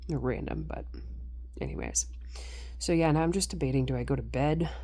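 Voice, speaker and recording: A woman talks fairly quickly, and audible room echo surrounds her words. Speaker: personal vlogger. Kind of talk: casual monologue. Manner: rambling, casual, late-night.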